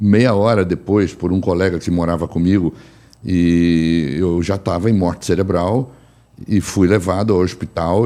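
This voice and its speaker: This man has a very deep, low pitch and a dark, mellow tone, with fairly even intonation. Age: 60s. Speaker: physician and energy therapist. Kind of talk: personal testimony in panel talk.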